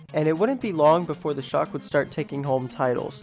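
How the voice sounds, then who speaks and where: Music plays behind a man talking at a fairly quick pace. His pitch is fairly high, with ordinary variation. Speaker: fan documentary narrator. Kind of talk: comedic documentary narration.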